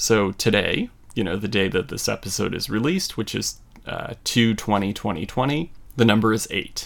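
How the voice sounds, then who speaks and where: A man with a plain, everyday voice at medium pitch, lively intonation and a moderate pace, in a very clean recording with a silent background. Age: 30s. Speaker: tarot podcast host. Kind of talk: solo educational podcast monologue.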